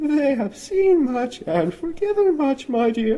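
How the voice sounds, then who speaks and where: A man performs a put-on character voice at an extremely high pitch. Light background noise can be heard. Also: fairly slow pace. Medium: read story. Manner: soft, silky.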